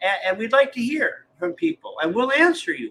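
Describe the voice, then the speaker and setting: A man's bright, sharp tone with very wide pitch swings. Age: 70s. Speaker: retired pastor and author. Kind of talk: casual conversation. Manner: halting, repeats words.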